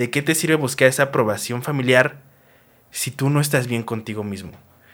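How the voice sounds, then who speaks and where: A man's moderately paced delivery carries ordinary pitch variation. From Mexico. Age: 20s. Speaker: podcast host. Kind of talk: casual monologue. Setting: recorded on camera. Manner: animated.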